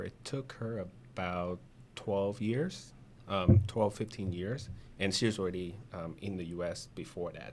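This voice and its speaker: The speaker has a Vietnamese accent and ordinary pitch variation. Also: man. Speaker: insurance agent. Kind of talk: interview. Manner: halting.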